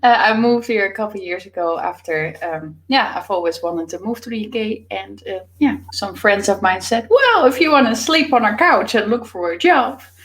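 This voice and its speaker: Lively intonation and big swings in loudness at a moderate pace, over noticeable background noise. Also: woman, fairly high pitch for a woman, hardly any pauses. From Netherlands. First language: Dutch. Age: young. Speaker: author and business coach. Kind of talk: interview. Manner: hesitant, many fillers.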